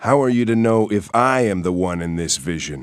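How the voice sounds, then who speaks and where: In a very clean recording with a silent background, a man uses a put-on character voice at a fairly low pitch and a moderate pace. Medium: video game.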